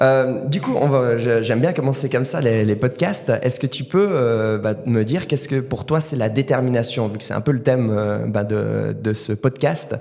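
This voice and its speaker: Over music in the background, a man with a medium-pitched voice talks at a moderate pace with hardly any pauses and ordinary pitch variation. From Valais, Switzerland. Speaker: podcast host, martial arts instructor. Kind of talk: interview. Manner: hesitant, many fillers.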